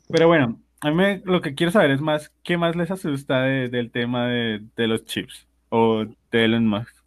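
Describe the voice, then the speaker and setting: A man talks in a normal speaking voice. His pace is fairly slow. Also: medium pitch for a man, lively intonation. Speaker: podcast co-host guesting on another show. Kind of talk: casual chat.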